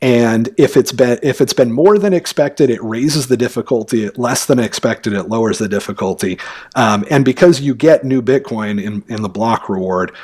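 A man speaks at a moderate pace with hardly any pauses, his pitch medium and his intonation lively, in a normal speaking voice. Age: 40s. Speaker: bitcoin educator. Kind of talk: interview.

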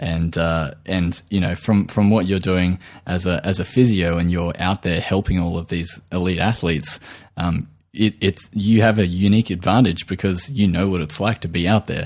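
In a very clean recording with a silent background, a man with an Australian accent talks at a moderate pace with a very deep, low pitch and fairly even intonation. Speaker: podcast host, nutritional therapist. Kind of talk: interview. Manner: halting, many fillers.

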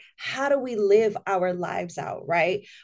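A woman with an ordinary speaking voice, medium pitch, ordinary pitch variation and a fairly slow pace, in an American accent. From Spanish Harlem, New York City. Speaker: minister. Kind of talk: casual chat.

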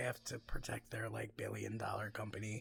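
A man talks at a moderate pace with lively intonation and vocal fry. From Mexican heritage. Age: 30s. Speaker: podcast co-host. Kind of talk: casual chat.

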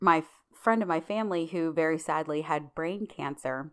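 Speech comes at a fairly slow pace with lively intonation and an American accent. The recording is very clean, with a silent background. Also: woman. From Pittsburgh, US. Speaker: podcast co-host. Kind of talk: casual chat.

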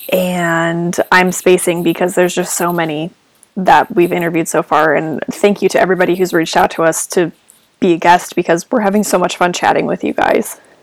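Using a normal speaking voice, a woman with a fairly low pitch talks at a fairly quick pace with fairly even intonation. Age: 20s. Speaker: podcast co-host. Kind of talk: casual chat.

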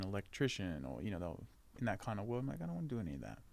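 Very fast speech in an Australian accent with lively intonation. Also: man. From Australia, Melbourne. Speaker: actor. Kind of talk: casual interview chat.

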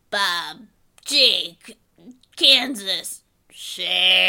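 This is a put-on character voice, raspy and female-sounding. It sits at a medium pitch for a woman. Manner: threatening.

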